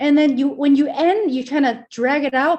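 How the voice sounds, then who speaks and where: An energetic, high-pitched woman at a moderate pace. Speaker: communications coach and presenter. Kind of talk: interview. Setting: video call. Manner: projecting, louder than normal.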